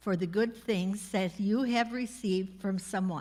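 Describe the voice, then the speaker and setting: A somewhat breathy woman at fairly high pitch with ordinary pitch variation, on a very clean recording with a silent background. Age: 80s+. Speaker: guest speaker, retired teacher. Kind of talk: speech to school staff.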